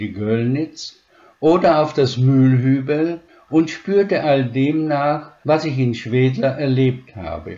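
The speaker has a dark, mellow tone, ordinary pitch variation, and a very slow pace. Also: man. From Slovakia (Spiš German community), raised from 1946 in Upper Franconia. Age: 80s+. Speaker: retired professor of special education. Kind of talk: interview answers, read-out prepared text. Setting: online interview. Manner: formal.

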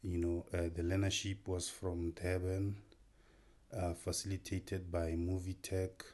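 Against a quiet background, a man speaks fairly slowly in a very deep, low voice that is dark, mellow and somewhat breathy, with flat, monotone intonation and very even loudness. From South Africa, North West Province (Mahikeng). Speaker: filmmaker. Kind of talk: interview.

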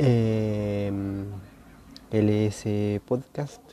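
The tone is dark and mellow. It belongs to a man. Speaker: podcast host. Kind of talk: solo casual monologue. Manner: hesitant, many fillers; moderate volume, normal tone.

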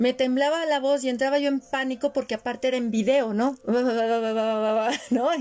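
At a fairly slow pace, a woman speaks with a high pitch and fairly even intonation, hardly pausing and keeping her loudness very even. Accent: Mexican. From Mexico. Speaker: podcast host and former radio announcer. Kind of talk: casual chat.

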